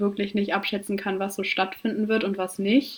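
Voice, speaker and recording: A woman is speaking. She keeps a moderate pace. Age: 20s. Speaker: amateur runner and medical student. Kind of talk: interview. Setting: remote call.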